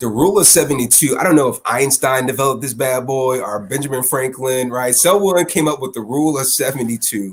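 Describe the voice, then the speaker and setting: Speaking in a plain, everyday voice at a fairly quick pace with hardly any pauses, the speaker shows ordinary pitch variation. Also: man, medium pitch for a man. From Chicago area, US Midwest. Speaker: financial literacy coach. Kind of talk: interview conversation.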